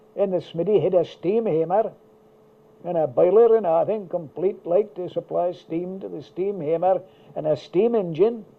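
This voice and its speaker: This man speaks with an Aberdeenshire accent. His pitch is high. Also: ordinary pitch variation, moderate pace. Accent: local Rosehearty. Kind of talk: reminiscing interview answer.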